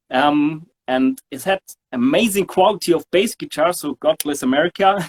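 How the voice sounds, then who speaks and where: Speaking with a German accent, a man with a fairly high pitch keeps a moderate pace in a dry, close sound with no echo. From southern Germany (Sindelfingen). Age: 40s. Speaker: bass player. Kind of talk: interview. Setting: studio. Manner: halting, many fillers.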